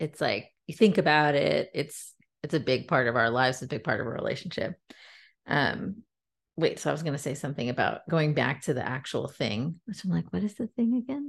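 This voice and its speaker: In an American accent, a woman speaks at a fairly quick pace with a very deep, low pitch. Her voice makes very wide pitch swings. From US, San Francisco Bay Area. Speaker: podcast co-host. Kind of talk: casual chat.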